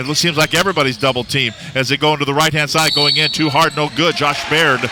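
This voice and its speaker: A man talks at a fairly high pitch. There is music in the background. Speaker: radio play-by-play announcer. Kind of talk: live sports play-by-play commentary. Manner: fast, energetic.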